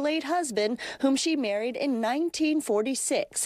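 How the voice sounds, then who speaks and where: Against noticeable background noise, a woman talks at a high pitch with very wide pitch swings. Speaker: news reporter. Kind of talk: TV news report narration.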